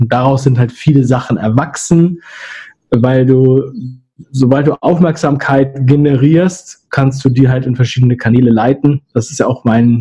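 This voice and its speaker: With a dark, mellow, somewhat breathy tone, a man speaks at a medium pitch and a fairly slow pace, his intonation fairly even and his loudness very even. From Hamburg area, Germany. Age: 30s. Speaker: agency founder and YouTuber. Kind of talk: interview.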